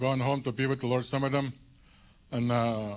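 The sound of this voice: His intonation is fairly even. The man's voice has a medium pitch.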